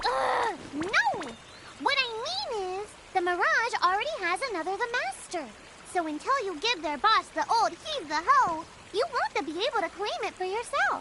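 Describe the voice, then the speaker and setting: An extremely high, put-on character voice speaks at a moderate pace. Background noise is clearly audible. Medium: machinima. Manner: quick, huffy.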